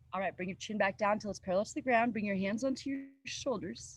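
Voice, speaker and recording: Somewhat breathy and calm, a woman talks in a soothing tone at a medium pitch. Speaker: yoga teacher. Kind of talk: guided yoga class. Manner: calm, soothing.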